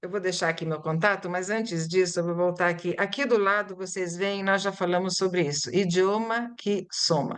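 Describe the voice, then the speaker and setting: Using an unremarkable speaking voice, a woman at medium pitch talks at a moderate pace with fairly even intonation and hardly any pauses. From Brazil (born in Italy, arrived at six). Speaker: Portuguese-as-foreign-language teacher. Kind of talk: lecture presentation.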